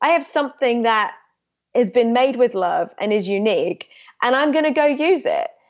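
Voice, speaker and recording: A woman speaks at a moderate pace in a high pitch. Her voice makes very wide pitch swings. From England. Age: 30s. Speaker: documentary filmmaker. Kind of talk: interview conversation.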